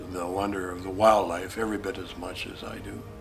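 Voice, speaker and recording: A moderate pace amid noticeable background noise and audible room echo. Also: man. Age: 70s. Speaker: hunting guide and outfitter. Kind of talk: promotional talk.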